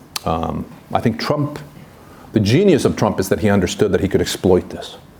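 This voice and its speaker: A fairly low-pitched man at a fairly quick pace, lively in intonation, with noticeable background noise. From Sweden and Vancouver, Canada. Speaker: historian, professor. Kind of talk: seminar talk. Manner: hesitant, many fillers.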